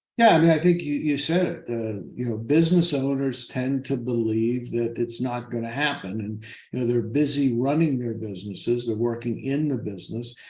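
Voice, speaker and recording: A man speaks at medium pitch with ordinary pitch variation and hardly any pauses. Audible room echo surrounds his voice. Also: moderate pace. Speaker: financial advisor. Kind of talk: interview.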